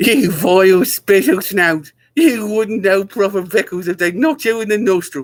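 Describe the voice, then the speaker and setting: Putting on a squeaky character voice, a man speaks at a high pitch and moderate pace with lively intonation and hardly any pauses. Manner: insulting, snarling.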